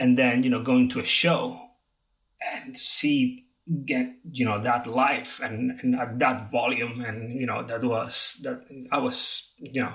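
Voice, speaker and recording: A man's medium-pitched, flat monotone at a fairly slow pace. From Spain, Barcelona. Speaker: guitar tech and stage manager. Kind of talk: interview.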